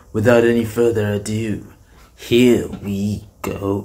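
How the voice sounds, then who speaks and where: Over light background noise, a man puts on a character voice at a medium pitch. His delivery is fairly slow with monotone, flat intonation. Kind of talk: casual reaction commentary. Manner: pompous, dramatic.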